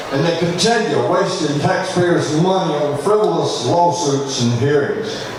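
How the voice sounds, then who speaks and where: A man with a Mississippi accent talks in a high voice, with hardly any pauses and very even loudness. Noticeable background noise and audible room echo surround him. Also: ordinary pitch variation, fairly slow pace. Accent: Mississippi Southern US. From US South, Mississippi (Smith County). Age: 70s. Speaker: political candidate, retired army lawyer. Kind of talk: campaign speech. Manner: formal.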